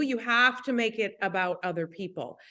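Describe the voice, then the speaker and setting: A woman in an Upper Midwest accent, fairly high-pitched and animated in tone, against a quiet background. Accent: Upper Midwest American. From US Midwest, Minnesota. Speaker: network marketing leader. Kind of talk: motivational talk.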